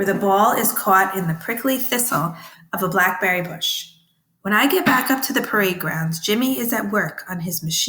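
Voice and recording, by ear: The background is quiet. The speaker is reading aloud in a natural voice with lively intonation.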